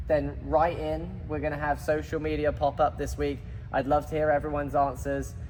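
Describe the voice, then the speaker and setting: Fairly quick speech from a man with a British accent. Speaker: tennis podcast co-host, tennis coach. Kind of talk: casual chat.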